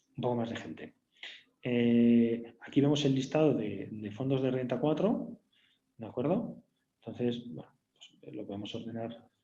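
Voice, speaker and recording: At a fairly slow pace, a man with a medium pitch and a dark, mellow tone speaks with ordinary pitch variation, long, frequent pauses and big swings in loudness. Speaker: bank executive presenting webinar. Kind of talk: webinar product demo. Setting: online webinar. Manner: hesitant, many fillers.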